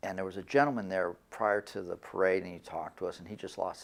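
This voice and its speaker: Very deep, low male voice at a very fast pace, with ordinary pitch variation. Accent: Michigan. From Michigan. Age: 60s. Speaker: son of a war veteran. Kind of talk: interview testimony. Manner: halting, with fillers.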